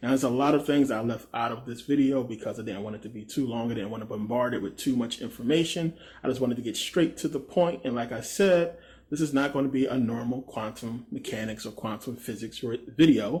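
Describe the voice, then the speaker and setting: Somewhat breathy speech from a man at a fairly quick pace. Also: medium pitch for a man, ordinary pitch variation. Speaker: YouTuber, spirituality and science commentator. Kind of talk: informal explainer monologue; casual video sign-off. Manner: casual, with fillers.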